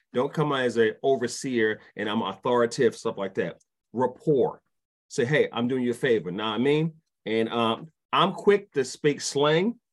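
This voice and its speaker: In a New York accent, a man talks with lively intonation. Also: medium pitch for a man, moderate pace. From New York, Brooklyn. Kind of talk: casual chat.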